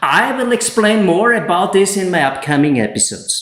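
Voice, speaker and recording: A man with a German accent speaks against a quiet background, with audible room echo. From Austria. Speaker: solar energy installer and YouTuber; YouTuber. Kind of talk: tutorial. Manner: less emotional in English than in German. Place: home room.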